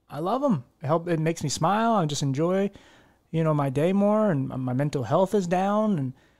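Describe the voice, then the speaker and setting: A man with a Philadelphia accent, fairly high in pitch, with lively intonation at a moderate pace on a very clean recording with a silent background. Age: 30s. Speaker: podcast host. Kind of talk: casual chat. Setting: home living room.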